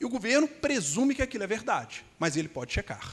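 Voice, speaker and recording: This man talks fairly quickly. His voice rises and falls across a very wide range. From Brazil, Belo Horizonte (Minas Gerais). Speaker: immigration lawyer. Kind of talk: conference panel talk.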